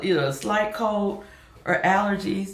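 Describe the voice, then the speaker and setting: A woman's medium-pitched voice at a moderate pace, with noticeable background noise. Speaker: YouTuber and online reseller. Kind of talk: casual vlog talk. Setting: home office.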